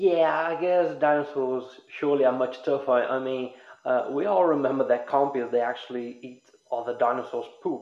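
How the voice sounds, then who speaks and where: With an ordinary speaking voice, a man talks at a moderate pace with a fairly high pitch and ordinary pitch variation. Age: 20s. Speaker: podcast host. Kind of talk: casual chat.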